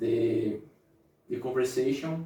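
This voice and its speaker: A man talks in a somewhat breathy voice with fairly even intonation. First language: not English. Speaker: motivational youtuber. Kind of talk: motivational talk to camera. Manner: halting, self-correcting.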